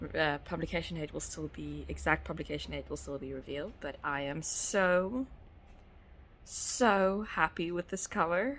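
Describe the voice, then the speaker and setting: The speaker is a woman with a South African accent. She talks at a moderate pace. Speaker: author. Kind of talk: casual talk to camera.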